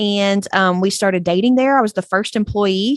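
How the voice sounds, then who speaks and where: Against a quiet background, a woman talks at a fairly quick pace. Her medium pitch varies in an ordinary way. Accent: slight Texas. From East Texas. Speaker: graphic designer. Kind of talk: interview. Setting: remote call.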